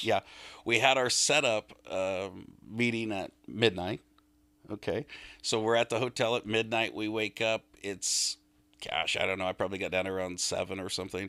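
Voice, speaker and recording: A man's fairly low-pitched, bright and sharp voice at a moderate pace with fairly even intonation, on a very clean recording with a silent background. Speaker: auctioneer. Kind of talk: interview answer. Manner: casual, conversational.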